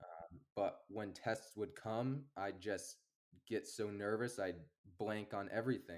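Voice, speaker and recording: A man with an American accent speaks in an unremarkable speaking voice, fairly low in pitch. His pace is fairly slow, with ordinary pitch variation. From US Northeast (Amherst, Massachusetts). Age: 20s. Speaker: landscaping business owner. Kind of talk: casual chat.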